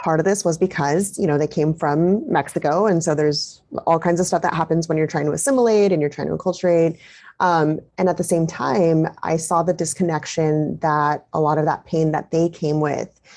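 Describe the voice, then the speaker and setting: A woman with a plain, everyday voice speaks at a moderate pace in a fairly low pitch, with fairly even intonation and very even loudness. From US, Mexican-American family. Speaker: parent coach. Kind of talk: interview.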